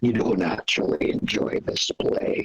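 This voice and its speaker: A man does a put-on character voice. It is raspy and menacing in tone. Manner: accusing, menacing.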